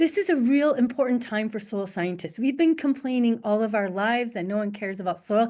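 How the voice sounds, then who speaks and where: Over a quiet background, a woman talks at a fairly quick pace in an animated tone with lively intonation. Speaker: soil scientist. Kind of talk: webinar presentation. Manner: fast.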